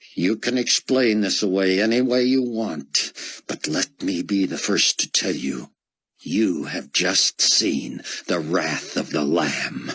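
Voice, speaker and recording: A man's put-on character voice, very deep and low in pitch, with lively intonation, a fairly slow pace and a dry, close sound with no echo. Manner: seething.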